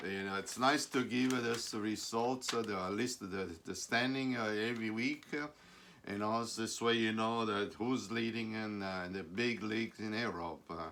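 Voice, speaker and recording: This man has a medium pitch and a bright, sharp tone. He speaks at a moderate pace with fairly even intonation. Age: 70s. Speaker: soccer talk show host. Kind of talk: casual sports talk monologue. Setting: live stream from a flooring business. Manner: halting, many fillers and repeats.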